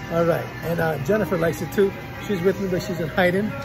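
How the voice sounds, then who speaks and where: A man talks at a very fast pace. Clear music plays behind him. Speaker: vlogger shopper. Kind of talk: casual vlog chat. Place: shop. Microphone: phone near.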